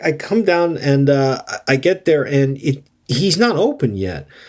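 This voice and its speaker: Using lively intonation, a man with an American accent speaks at a fairly slow pace. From United States. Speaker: podcast co-host. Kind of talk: casual chat. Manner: halting.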